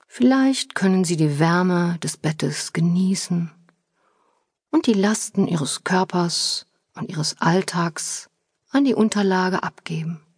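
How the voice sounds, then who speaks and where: Very slowly and somewhat breathily, a woman speaks at medium pitch in a calm, soothing tone, the sound dry and close with no echo. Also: ordinary pitch variation. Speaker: audiobook narrator and author. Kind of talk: guided meditation. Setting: studio. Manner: slow, calm, soothing; gentle, unhurried, with pauses.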